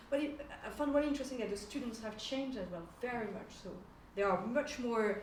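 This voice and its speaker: Audible room echo surrounds a woman with a French accent speaking at a high pitch with ordinary pitch variation. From France. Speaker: sociology of religion lecturer, panellist. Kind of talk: panel discussion. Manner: hesitant, many fillers.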